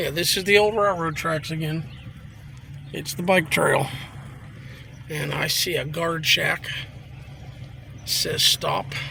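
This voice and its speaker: Amid noticeable background noise, a man with an American accent speaks at a very slow pace with long, frequent pauses, his fairly high voice showing ordinary pitch variation. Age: 60s. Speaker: local vlogger. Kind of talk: walking vlog narration. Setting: outdoors. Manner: casual, hesitant with fillers.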